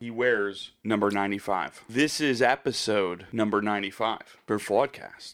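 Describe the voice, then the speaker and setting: A man talks at a moderate pace in a fairly low voice, with hardly any pauses. It is a plain, everyday voice, with fairly even intonation and very even loudness. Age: 40s. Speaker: podcast co-host. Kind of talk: casual chat.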